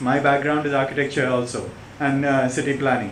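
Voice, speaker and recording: A flat, monotone voice with an American accent, audible room echo and noticeable background noise. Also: man. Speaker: visiting professor. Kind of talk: lecture. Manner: halting.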